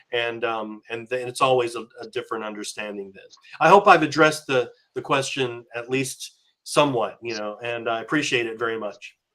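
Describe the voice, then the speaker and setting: A man's medium-pitched voice with an American accent, bright and sharp in tone, at a fairly quick pace. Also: ordinary pitch variation, big swings in loudness. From USA. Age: 60s. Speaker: conference speaker. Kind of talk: Q&A answer at academic conference.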